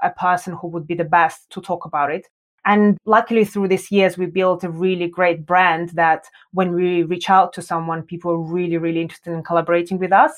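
In a Russian accent, a woman speaks with a fairly low pitch at a moderate pace. Her intonation is monotone and flat. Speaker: design educator and founder. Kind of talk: interview.

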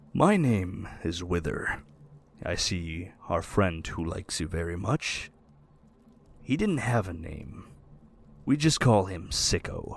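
In a put-on character voice, a man speaks at very deep, low pitch with lively intonation and a fairly slow pace. Long, frequent pauses break up his speech, and the recording is very clean with a silent background. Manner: formal, calm.

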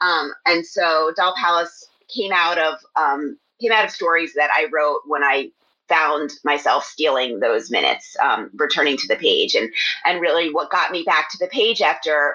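Here is a woman with an American accent, a fairly low pitch and a normal speaking voice. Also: lively intonation, moderate pace. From US, Philadelphia area. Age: 40s. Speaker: fiction writer. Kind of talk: casual interview.

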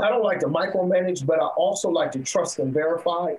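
Ordinary pitch variation runs through a man's speech. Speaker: gym owner and entrepreneur. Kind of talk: interview. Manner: loud; animated.

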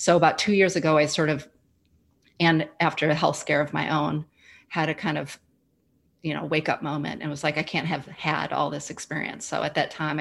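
A woman speaks at a moderate pace in a very deep, low voice with vocal fry. Her intonation stays monotone and flat. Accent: American. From US Midwest. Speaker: grief educator and former social worker. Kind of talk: casual interview conversation.

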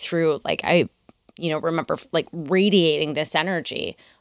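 A woman with a Midwestern American accent talks at a fairly quick pace, her pitch very deep and low. The sound is dry and close, with no echo. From US Midwest. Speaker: dancer and choreographer. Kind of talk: interview conversation. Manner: animated.

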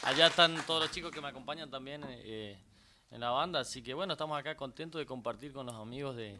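A man talks at a fairly quick pace, medium in pitch with ordinary pitch variation. His tone is bright and sharp. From Corrientes province, Argentina (Itá Ibaté). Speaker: chamamé musician and TV host. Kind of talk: casual interview on live radio. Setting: radio studio.

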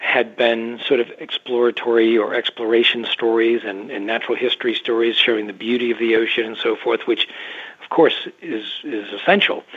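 A man with an unremarkable speaking voice talks at a moderate pace, his pitch medium, with an American accent. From US, New England (Massachusetts). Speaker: underwater photojournalist. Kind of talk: interview. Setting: remote call.

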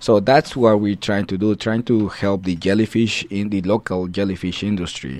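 A man with a Spanish accent, fairly low in pitch, at a moderate pace with ordinary pitch variation and hardly any pauses. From Guatemala. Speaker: food science professor. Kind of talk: radio interview. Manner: halting.

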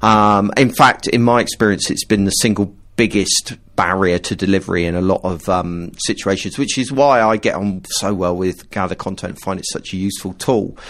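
A man with a plain, everyday voice at a moderate pace, with fairly even intonation. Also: fairly low pitch for a man. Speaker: podcast host. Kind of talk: casual chat.

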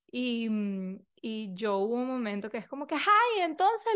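A woman's voice moves in very wide pitch swings. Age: 30s. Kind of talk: casual monologue. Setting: video recording. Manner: animated.

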